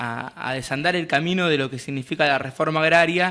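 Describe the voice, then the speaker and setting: A man with an Argentine accent talks at a fairly high pitch. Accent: Argentine Spanish (Rioplatense). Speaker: community radio host. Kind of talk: radio discussion on agrarian reform; casual radio chat. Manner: fast.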